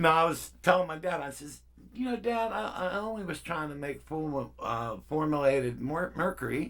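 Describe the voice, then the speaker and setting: Lively in intonation, a man speaks at a fairly high pitch and moderate pace with audible room echo. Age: 60s. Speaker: keyboard player and electronics hobbyist. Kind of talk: tutorial. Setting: garage. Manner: casual, rambling with fillers.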